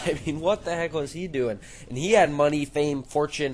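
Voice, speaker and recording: This man's fairly high voice comes through noticeable background noise. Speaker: gaming YouTuber. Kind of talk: casual commentary over gameplay. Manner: loud; halting.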